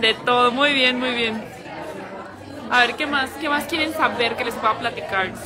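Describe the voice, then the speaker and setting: Crowd noise fills the background. The speech moves at a fairly slow pace with long, frequent pauses. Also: woman, high pitch for a woman. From Mexico, Jalisco (El Salto). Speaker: pageant livestream host, former beauty queen. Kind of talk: casual live-stream chat. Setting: live stream at pageant venue. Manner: animated. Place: cafe. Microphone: phone near.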